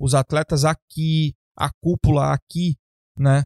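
A man with an ordinary speaking voice talks at a fairly high pitch with fairly even intonation, recorded dry and close with no echo. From Brazil. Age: 30s. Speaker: bodybuilding coach and podcast host. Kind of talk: casual chat.

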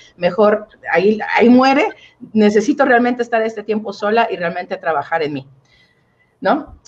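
This woman has a plain, everyday voice, pitched fairly high with ordinary pitch variation. Her pace is fairly quick. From Mexico, Oaxaca. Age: 30s. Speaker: relationship coach. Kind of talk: interview.

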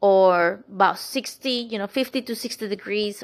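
A woman with a Spanish accent speaks with fairly even intonation. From Colombia. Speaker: podcast host, empowerment coach and Reiki practitioner. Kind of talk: casual spiritual monologue.

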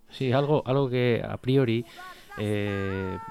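A man speaks with fairly even intonation. Noticeable background noise runs under his voice. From Basque Country, Spain (Bilbao left bank). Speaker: radio co-host. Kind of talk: interview. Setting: studio. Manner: halting.

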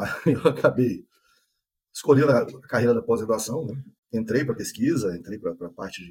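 A man speaks at a moderate pace and a medium pitch, somewhat breathy, with ordinary pitch variation and big swings in loudness. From Brazil, Espírito Santo interior. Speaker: animal science professor. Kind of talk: interview, technical explanation.

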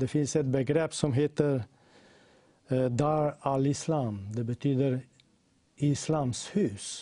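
A man with a fairly high pitch and a dark, mellow tone speaks at a very slow pace, with very even loudness and ordinary pitch variation. Long, frequent pauses break his speech against a quiet background. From Slovenia. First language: Slovenian (speaking Swedish). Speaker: Bible translation worker. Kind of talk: reading aloud; talk.

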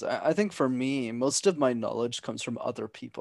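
A man with a Canadian accent has an ordinary speaking voice at medium pitch, talking at a fairly quick pace in a dry, close sound with no echo over a quiet background. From Montreal, Quebec. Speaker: business consultant and public speaker. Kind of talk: podcast interview.

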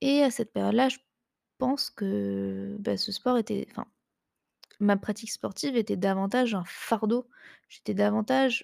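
A woman at a moderate pace with long, frequent pauses, dry and close with no echo, in a very clean recording over a silent background. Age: 20s. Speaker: online nutrition and fitness coach, podcast host. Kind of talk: casual solo chat. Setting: at home on the couch. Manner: hesitant, many fillers.

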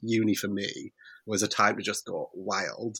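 A man with a British accent, dry and close with no echo, on a very clean recording with a silent background. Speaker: podcast guest. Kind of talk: casual chat.

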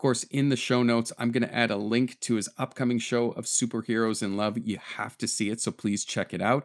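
A man talks in an unremarkable speaking voice. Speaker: podcast host. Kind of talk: interview chat.

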